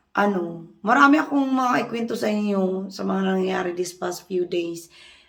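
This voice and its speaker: A woman's medium-pitched voice at a very slow pace, with ordinary pitch variation and audible room echo. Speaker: vlogger. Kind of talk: casual vlog chat.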